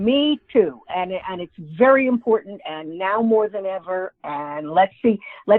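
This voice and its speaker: A woman with an American accent speaks at a fairly slow pace with lively intonation and a plain, everyday voice. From New York. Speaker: author and humorist. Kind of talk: interview.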